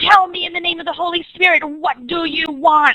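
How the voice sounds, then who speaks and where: A put-on character voice delivered at a fairly quick pace. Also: female-sounding voice, extremely high pitch for a woman. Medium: read story.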